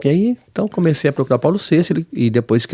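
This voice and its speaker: With a dark, mellow tone and lively intonation, a man talks at a very fast pace, the sound dry and close with no echo. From southern Brazil, Paraná (Londrina); born Pernambuco. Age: 40s. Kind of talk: interview testimony.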